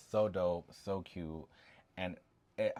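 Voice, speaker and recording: A man mumbles in a very deep, low voice on a very clean recording with a silent background. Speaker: doll collector vlogger. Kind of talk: casual collection show-and-tell. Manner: mumbling; casual, halting with fillers.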